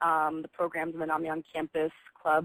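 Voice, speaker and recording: A woman with a plain, everyday voice and fairly low pitch talks at a moderate pace in a dry, close sound with no echo. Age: 20s. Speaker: college student sharing lived experience. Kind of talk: personal testimony on webinar. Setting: video call webinar.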